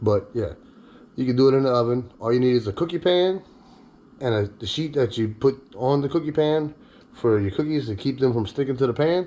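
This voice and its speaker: A man's medium-pitched voice, dark and mellow in tone, with ordinary pitch variation and a fairly quick pace. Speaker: home cooking video host. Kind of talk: cooking tutorial with casual chat. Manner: casual, joking.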